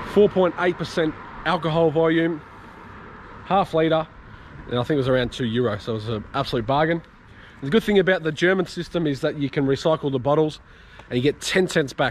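The voice moves at a fairly quick pace with ordinary pitch variation, in a dry sound with no echo and light background noise. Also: man. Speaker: travel vlogger. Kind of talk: casual vlog chat. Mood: relaxed and cheerful. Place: street. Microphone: phone near.

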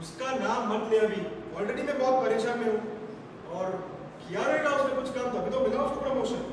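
Amid strong room echo and noticeable background noise, a man talks at a moderate pace with an extremely high pitch. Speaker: skit actor playing the stressful inner voice. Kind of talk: theatrical skit dialogue. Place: hall.

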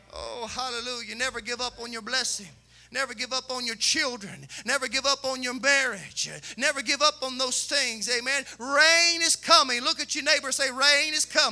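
A man's raised, projected voice in an American accent, extremely high in pitch, at a moderate pace over faint music in the background. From Kentucky. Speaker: pastor. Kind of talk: sermon. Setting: church. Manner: animated. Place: church. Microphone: handheld.

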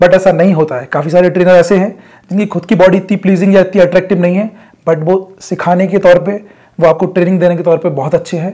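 A man's dark, mellow voice, high in pitch, fast, with little pitch movement.

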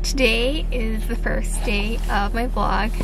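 A woman's very slow speech, dry with no echo, over noticeable background noise. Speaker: vlogger. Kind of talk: casual vlog chat. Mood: excited, cheerful. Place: car. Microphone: phone near.

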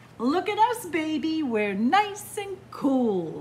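A woman puts on a character voice, speaking very slowly at an extremely high pitch with very wide swings in pitch over clear background noise. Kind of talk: reading a picture book aloud to children. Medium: read story. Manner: bright, coaxing. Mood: cheerful coaxing.

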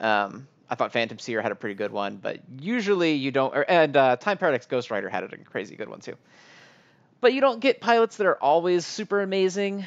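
This man talks at a fairly quick pace in a high pitch, his loudness swinging widely and his pitch swinging very widely too. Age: 30s. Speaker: anime podcast co-host. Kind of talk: casual chat.

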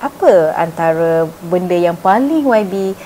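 A woman with a fairly low voice speaks over light background noise. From Malaysia. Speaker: TV interviewer. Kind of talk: casual interview. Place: shop.

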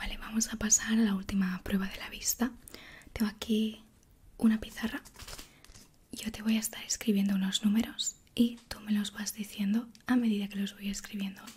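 Soft-spoken and gentle in tone, a woman talks at a moderate pace in a monotone, flat intonation, with long, frequent pauses and light background noise. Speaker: ASMR creator playing a doctor. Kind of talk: soft-spoken roleplay. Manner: soft-spoken, gentle ASMR doctor voice. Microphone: studio mic.

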